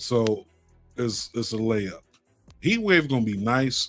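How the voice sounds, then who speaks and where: With music in the background, a man with an American accent speaks in a medium pitch at a moderate pace, his tone animated. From South Florida. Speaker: wrestling podcast host. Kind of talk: live stream casual chat. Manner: casual, animated.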